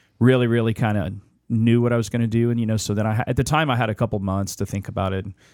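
Over a silent background in a very clean recording, a man with a normal speaking voice talks at a fairly low pitch with fairly even intonation. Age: 30s. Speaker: musician and event organizer. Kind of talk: casual chat.

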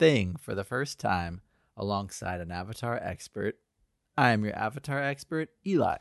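Speaking at a moderate pace, a man uses a fairly low pitch and lively intonation, with a dry, close sound and no echo. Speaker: podcast host. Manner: radio host style delivery.

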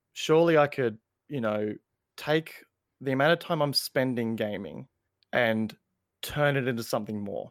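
The speech moves at a moderate pace with ordinary pitch variation and long, frequent pauses. The recording is very clean with a silent background and a dry, close sound with no echo. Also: man, medium pitch for a man. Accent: Australian. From Australia. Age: 20s. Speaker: gaming content creator. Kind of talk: casual chat. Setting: live-streamed podcast.

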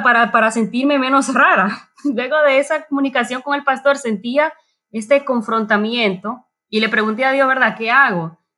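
Speaking at a moderate pace, a woman uses a high pitch and a raised, projected voice with a bright, sharp tone. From Dominican Republic. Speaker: church member. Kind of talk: casual chat. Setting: remote from home.

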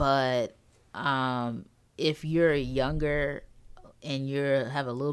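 A woman with an American accent at a very slow pace, her very deep, low voice held in fairly even intonation. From North Carolina; Greensboro, North Carolina. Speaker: newspaper features reporter. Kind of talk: casual interview chat.

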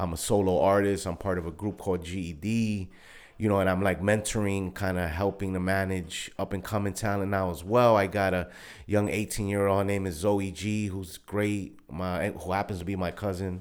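Monotone, flat speech from a man with a New York accent, fairly low in pitch and at a moderate pace. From Brooklyn, New York. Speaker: music artist and entrepreneur. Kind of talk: casual interview chat. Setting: studio.

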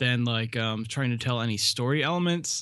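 A man with an American accent, lively intonation and a bright, sharp tone over a quiet background. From US East Coast, north. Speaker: podcast co-host. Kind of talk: casual chat.

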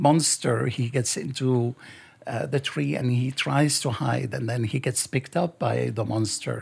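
Vocal fry runs through lively intonation delivered at a fairly slow pace. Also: man, medium pitch for a man. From Lebanon. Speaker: author. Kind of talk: interview.

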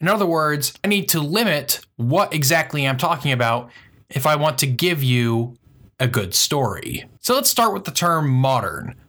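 A man speaks with a bright, sharp tone and fairly high pitch, in an American accent. His intonation is lively. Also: moderate pace. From US. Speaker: history podcaster, student. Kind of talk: scripted narration.

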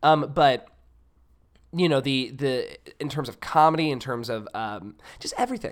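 A man with an American accent speaks at a moderate pace and a fairly high pitch, with ordinary pitch variation. His loudness swings widely, and he takes long, frequent pauses. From US South, Mississippi. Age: 20s. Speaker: actor and singer. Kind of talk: casual chat.

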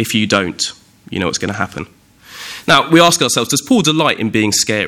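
Speaking with a southern English accent, a man uses a fairly high pitch and very wide pitch swings. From southern England, Windsor. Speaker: preacher. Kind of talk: sermon.

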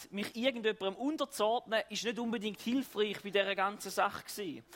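This man keeps a moderate pace. The rise and fall of his pitch is ordinary. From eastern Switzerland. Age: 30s. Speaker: pastor. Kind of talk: sermon.

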